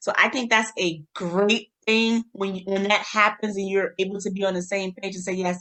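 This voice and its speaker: Someone rattles along at a very fast pace in a New York accent. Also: woman. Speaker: podcast co-host. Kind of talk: casual chat. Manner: animated.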